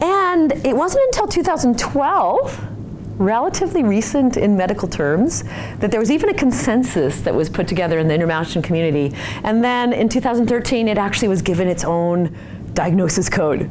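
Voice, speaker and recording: Speaking fairly quickly in an American accent, a woman uses a fairly high pitch with very wide pitch swings. Noticeable background noise and audible room echo are present. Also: very even loudness. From Utah. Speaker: physical therapist. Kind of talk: lecture.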